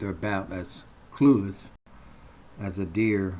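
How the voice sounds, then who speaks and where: A man speaks in a very deep, low voice that is somewhat breathy with a dark, mellow tone, with audible room echo. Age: 70s. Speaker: bank customer making a complaint video. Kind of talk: personal complaint monologue.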